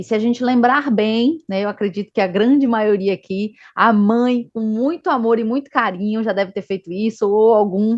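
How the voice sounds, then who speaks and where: Speaking in a Bahian accent, a woman keeps a moderate pace with hardly any pauses, her fairly high pitch showing ordinary pitch variation. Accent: Northeastern Brazilian (Bahia). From Northeast Brazil, Salvador. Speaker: medical education manager at a vaccine company. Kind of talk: online health talk.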